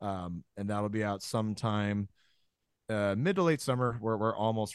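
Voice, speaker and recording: Recorded very cleanly against a silent background with a dry, close sound and no echo, a man talks at a fairly slow pace in a normal speaking voice. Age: 20s. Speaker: metal band guitarist and songwriter. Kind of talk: casual interview chat.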